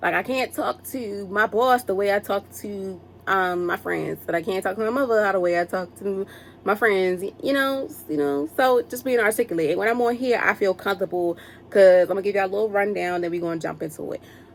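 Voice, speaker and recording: Here a woman talks with a Baltimore accent at a fairly quick pace. Her medium pitch moves with ordinary variation. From Baltimore, Maryland, US. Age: 20s. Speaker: podcast host. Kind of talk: casual motivational monologue. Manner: fast; animated.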